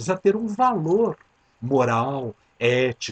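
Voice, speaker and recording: In a dry, close sound with no echo, a man speaks at a fairly slow pace with lively intonation and a somewhat breathy voice. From Brazil, São Paulo city. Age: 50s. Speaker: podcast host, transpersonal psychology. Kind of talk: reflective monologue.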